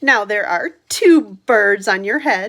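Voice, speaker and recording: A woman's put-on character voice, medium in pitch, at a fairly slow pace. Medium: read story. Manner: calm, deadpan.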